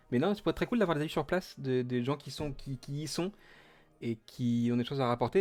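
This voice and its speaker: On a very clean recording with a silent background, a man with a fairly high pitch talks very fast with lively intonation. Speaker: Twitch streamer hosting Disney parks news. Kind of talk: casual live stream chat. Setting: home office, live stream. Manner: hesitant, many fillers.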